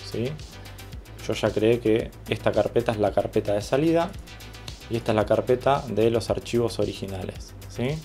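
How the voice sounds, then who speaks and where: Music plays in the background as a man speaks. His voice is medium in pitch, with ordinary pitch variation and a moderate pace. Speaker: video editor. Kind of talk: software tutorial narration.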